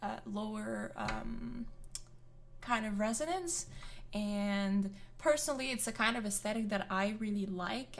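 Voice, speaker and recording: In a Quebec accent, a woman speaks at a medium pitch and fairly slow pace with ordinary pitch variation, and audible room echo is present. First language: French. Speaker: vocal coach and singer reacting to music. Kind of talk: reaction video commentary. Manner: hesitant, many fillers.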